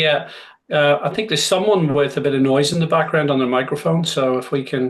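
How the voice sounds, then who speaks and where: Talking at a fairly quick pace, a man with a Northern Irish accent has a fairly high pitch and ordinary pitch variation. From Northern Ireland, Belfast. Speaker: motorsport business executive. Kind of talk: Q&A talk. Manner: hesitant with many fillers.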